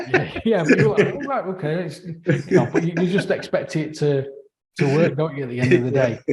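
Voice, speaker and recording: A man speaks at a high pitch with a Mancunian accent. His intonation is lively and his pace fairly quick. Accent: Northern English (Mancunian). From northern England, Manchester. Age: middle-aged. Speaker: podcast host, software developer. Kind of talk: casual chat. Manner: halting, many fillers and repeats.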